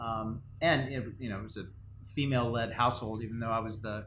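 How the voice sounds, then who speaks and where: With audible room echo, a man of medium pitch talks at a moderate pace with fairly even intonation. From Latin America, Spanish-speaking country. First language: Spanish. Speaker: company co-founder, podcast co-host. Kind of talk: casual chat. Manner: halting, many fillers and repeats.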